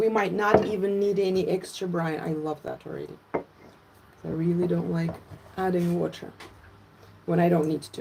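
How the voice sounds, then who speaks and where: A woman at a moderate pace with long, frequent pauses, over noticeable background noise. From Latvia, Russian-speaking. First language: Russian. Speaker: fermentation educator. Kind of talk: live cooking tutorial. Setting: livestream from home. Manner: animated.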